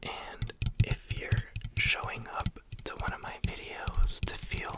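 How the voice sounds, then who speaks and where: Someone whispers over noticeable background noise. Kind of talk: ASMR talk to camera, relaxed chatty monologue. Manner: soft-spoken, relaxed, casual.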